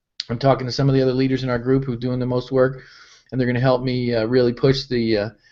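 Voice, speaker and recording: A man at a very fast pace, his intonation monotone and flat. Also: medium pitch for a man. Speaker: business founder and network marketing leader. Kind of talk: live webinar update.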